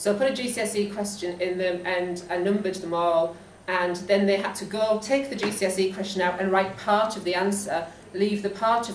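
A woman with a Geordie accent talks at a moderate pace with fairly even intonation. Light background noise and audible room echo can be heard. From northeast England. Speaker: school teacher. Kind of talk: presentation talk to colleagues. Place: meeting room. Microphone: camera far.

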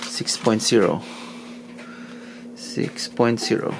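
Slow and fairly low, a man's voice shows vocal fry and ordinary pitch variation over faint background noise.

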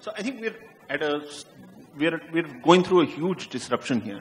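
At a moderate pace, a man with a high pitch speaks with very wide pitch swings and big swings in loudness. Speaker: media executive. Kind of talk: panel discussion. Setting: stage with audience. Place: stage. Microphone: handheld.

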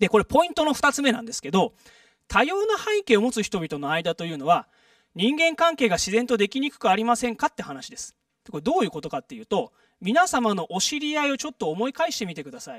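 The pace is very fast, with very wide pitch swings and big swings in loudness. The sound is dry with no echo against a quiet background. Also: man, extremely high pitch for a man. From Japan, Saitama. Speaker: public lecturer, former residents' association official; guest lecturer. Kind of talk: lecture. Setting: stage with audience. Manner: frequent filler words. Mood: friendly, smiling. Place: hall.

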